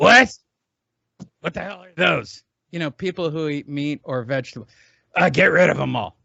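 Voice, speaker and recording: In a raspy, put-on character voice, a man at a fairly high pitch speaks at a moderate pace with lively intonation, big swings in loudness and long, frequent pauses. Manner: gruff, dismissive.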